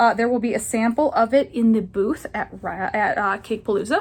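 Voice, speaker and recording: A woman speaks in a fairly high, somewhat breathy voice. Her pitch variation is ordinary. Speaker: knitting vlogger. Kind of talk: casual vlog chat. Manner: fast; rambling, with fillers.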